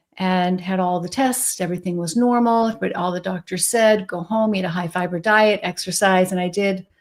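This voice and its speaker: A woman with an ordinary speaking voice talks at a moderate pace, her pitch varying in an ordinary way. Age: 60s. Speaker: psychiatrist. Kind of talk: interview.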